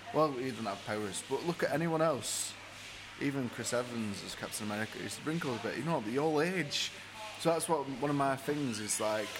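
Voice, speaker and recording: Someone with a Lancashire accent speaks fairly quickly with ordinary pitch variation, over music in the background and audible room echo. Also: man, fairly high pitch for a man. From Blackburn, Lancashire. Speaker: podcast co-host. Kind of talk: casual chat. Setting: pub.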